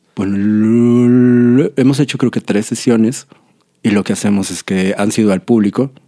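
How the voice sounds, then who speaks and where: At a moderate pace, a man speaks in an ordinary speaking voice with a medium pitch and ordinary pitch variation. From Monterrey, northern Mexico. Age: 40s. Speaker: tattoo artist and musician. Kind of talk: interview.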